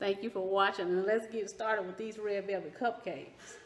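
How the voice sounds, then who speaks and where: Speaking in a Southern US accent, a woman uses a medium pitch, a moderate pace and an animated tone. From US South. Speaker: cooking channel host. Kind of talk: cooking tutorial.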